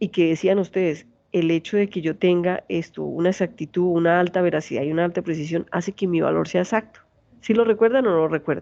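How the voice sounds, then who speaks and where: Very fast and fairly even in intonation, a woman speaks in a fairly low voice. Her tone is dark and mellow. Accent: strong Santander Colombian. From Colombia, Santander. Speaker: university lecturer. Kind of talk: lecture.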